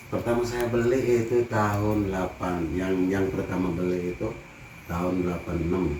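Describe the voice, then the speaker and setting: A man's very deep, low voice at a moderate pace, with ordinary pitch variation, noticeable background noise and audible room echo. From Banten, Indonesia (rural Lebak). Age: 60s. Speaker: farmer. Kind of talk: interview. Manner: casual.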